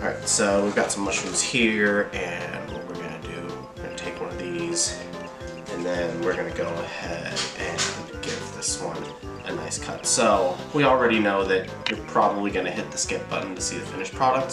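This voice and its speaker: Clear music plays in the background as a man talks at a moderate pace with ordinary pitch variation. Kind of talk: casual cooking tutorial. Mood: playful, joking. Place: kitchen.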